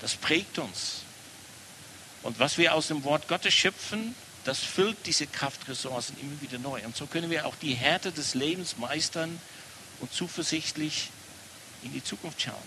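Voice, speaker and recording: Noticeable background noise sits behind a man with a fairly high pitch. He speaks at a fairly slow pace with ordinary pitch variation and long, frequent pauses. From Netherlands. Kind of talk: sermon.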